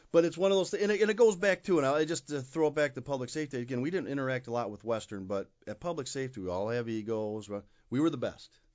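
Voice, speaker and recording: Speaking at a very fast pace in an Upper Midwest accent, the voice moves through very wide pitch swings. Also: man, medium pitch for a man. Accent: Upper Midwest American. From Michigan, Kalamazoo. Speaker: university police chief. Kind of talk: interview. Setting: studio.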